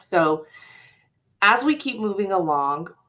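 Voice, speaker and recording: A woman's voice, bright and sharp in tone. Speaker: student engagement presenter. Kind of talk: workshop presentation.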